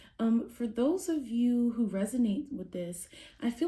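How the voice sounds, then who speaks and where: A somewhat breathy whisper at a moderate pace. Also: woman. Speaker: tarot reader. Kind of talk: tarot reading. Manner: whispering; hesitant with fillers.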